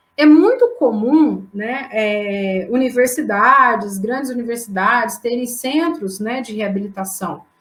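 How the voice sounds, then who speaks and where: A woman's fairly high voice at a very slow pace, with ordinary pitch variation, big swings in loudness and hardly any pauses. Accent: strong mineiro. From Brazil, southern Minas Gerais. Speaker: anatomy professor. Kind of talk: lecture. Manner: hesitant, frequent fillers.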